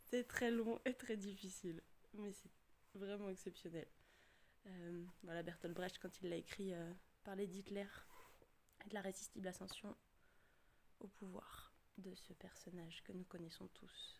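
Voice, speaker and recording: Fairly slow pace with fairly even intonation and long, frequent pauses. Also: woman, medium pitch for a woman. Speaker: theatre director. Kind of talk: casual talk to camera.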